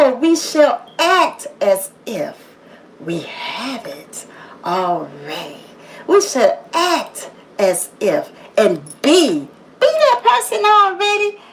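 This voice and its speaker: A woman at a very slow pace, with long, frequent pauses, big swings in loudness and noticeable background noise. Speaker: motivational livestreamer. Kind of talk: motivational monologue. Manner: loud and assertive.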